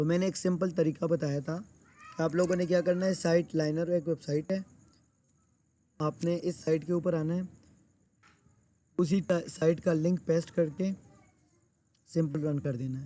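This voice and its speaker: A man speaks in a dark, mellow tone at a high pitch. His intonation is monotone and flat, with long, frequent pauses. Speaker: SEO teacher. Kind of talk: live class tutorial. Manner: conversational, filler-heavy.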